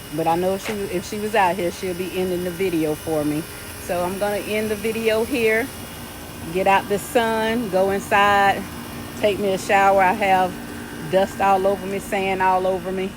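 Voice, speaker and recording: A woman talks with fairly even intonation. Noticeable background noise and audible room echo surround her. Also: medium pitch for a woman, moderate pace. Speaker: gardening vlogger. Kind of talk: casual garden tour vlog. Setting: outdoors in garden.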